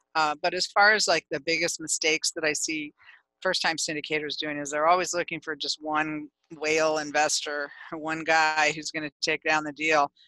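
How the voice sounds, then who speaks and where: The voice has a bright, sharp tone and a monotone, flat intonation at a moderate pace. The sound is dry with no echo, over a quiet background. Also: woman, very deep, low pitch for a woman. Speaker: podcast guest, attorney. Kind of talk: interview answer. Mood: calm, explanatory. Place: home room. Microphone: headset.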